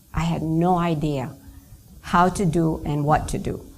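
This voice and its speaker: A woman's dark, mellow tone with audible room echo. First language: not English; another native language. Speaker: network marketing trainer. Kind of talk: business training talk.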